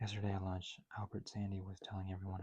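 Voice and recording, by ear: The voice is reading aloud. It sounds natural.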